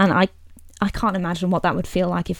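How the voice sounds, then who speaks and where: A woman speaks at a fairly low pitch. Vocal fry runs through her voice. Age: 20s. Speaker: podcast host. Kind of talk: casual chat.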